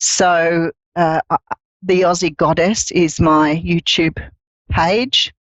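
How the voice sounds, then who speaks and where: In an Australian accent, a woman talks at a very slow pace with long, frequent pauses, her fairly low pitch carrying fairly even intonation at a very even loudness. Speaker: psychic reader. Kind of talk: casual chat. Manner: hesitant, many fillers.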